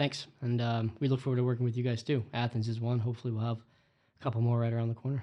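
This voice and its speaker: With an American accent, a man talks at a very fast pace with hardly any pauses, in a medium pitch and a monotone, flat intonation. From Florida. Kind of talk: casual chat.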